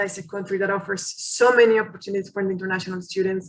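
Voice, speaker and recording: A woman with a Mexican accent speaks in a monotone, flat intonation. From Mexico. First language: Spanish. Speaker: college international recruiter. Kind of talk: online information session presentation. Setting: video call webinar. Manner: hesitant with fillers and repetitions.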